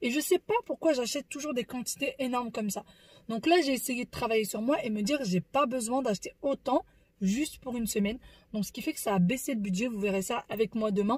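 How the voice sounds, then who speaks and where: With lively intonation and a high pitch, a woman talks at a fairly quick pace in a dry, close sound with no echo. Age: 30s. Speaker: family vlogger. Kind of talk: casual vlog monologue. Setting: in a car. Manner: soft-spoken.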